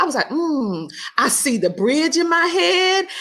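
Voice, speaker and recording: With a Southern US accent, a woman speaks at a fairly slow pace in an animated tone. Her pitch swings very widely. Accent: Southern twang. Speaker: podcast host. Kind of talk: casual interview chat.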